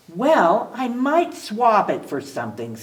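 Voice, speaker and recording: A put-on character voice from a woman, fairly high in pitch, at a fairly slow pace. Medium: read story. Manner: grumbly.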